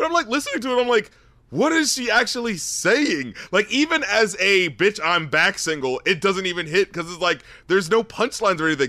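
A raised, projected man's voice, high in pitch, with very wide pitch swings. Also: fairly quick pace. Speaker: rap critic podcast host. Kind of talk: casual banter and music review.

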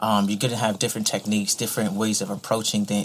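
A man talks with an American accent. His intonation is flat and monotone. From Virginia Beach area. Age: 30s. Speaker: visual artist. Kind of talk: casual interview.

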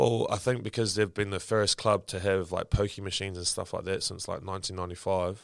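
Recorded very cleanly with a silent background, a man with a New Zealand accent speaks at a moderate pace and fairly low pitch in a monotone, flat intonation with hardly any pauses. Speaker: professional rugby player. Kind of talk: interview.

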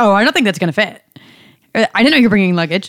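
With a normal speaking voice, a woman talks at a medium pitch and ordinary pitch variation. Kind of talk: casual chat.

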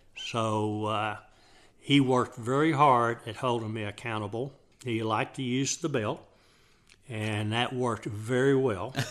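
A man with a Texan accent speaks at a fairly slow pace, his medium pitch carried by fairly even intonation. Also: very clean recording, silent background. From Texas, Dallas area. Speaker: father of the host, Vietnam veteran. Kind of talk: casual chat. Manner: halting.

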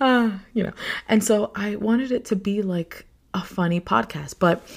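Speaking at a moderate pace with an American accent, a woman sounds somewhat breathy and animated, with ordinary pitch variation. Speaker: podcast host. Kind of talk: solo podcast, casual chat and venting. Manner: animated, rambling; halting, stutters at times.

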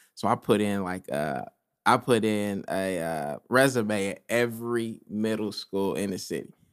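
A man's fairly low, normal speaking voice with an American accent, fairly slow and ordinary in pitch variation, on a very clean recording with a silent background. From Decatur, Illinois. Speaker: high school basketball coach. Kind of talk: casual chat.

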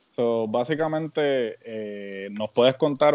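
Very slowly, a man talks at a medium pitch. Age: older than guest. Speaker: podcast co-host. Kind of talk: casual interview.

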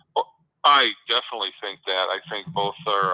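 At a moderate pace, a man speaks in a normal speaking voice with fairly low pitch. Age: 50s. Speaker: local radio guest commentator. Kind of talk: casual interview.

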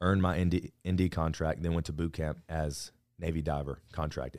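A man's very deep, low voice comes through in a monotone, flat delivery, on a very clean recording with a silent background. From Alabama. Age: 20s. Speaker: fitness YouTuber and Navy veteran. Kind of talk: casual interview chat.

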